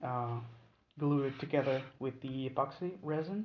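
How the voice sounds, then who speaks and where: A man with a non-native accent speaks at a fairly slow pace. His pitch is fairly high. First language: not English. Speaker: knife maker. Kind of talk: tutorial. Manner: halting, many fillers.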